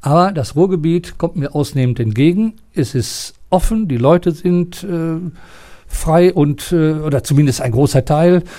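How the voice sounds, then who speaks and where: A man's fairly high, dark, mellow voice with ordinary pitch variation. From East Westphalia, Germany (near Paderborn). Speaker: retired sports and art teacher, former Olympic athlete. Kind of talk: interview. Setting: theatre building.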